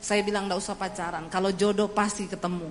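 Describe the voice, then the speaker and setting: A woman's medium-pitched voice at a fairly quick pace, with noticeable background noise and audible room echo. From Indonesia, Central Sulawesi (Poso). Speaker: evangelist preacher. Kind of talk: sermon.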